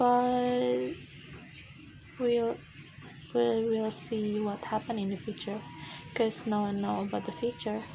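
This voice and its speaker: A woman at a fairly high pitch speaking at a very slow pace, with music in the background. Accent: Indonesian. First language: Indonesian. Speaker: university student. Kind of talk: speaking test monologue. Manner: halting.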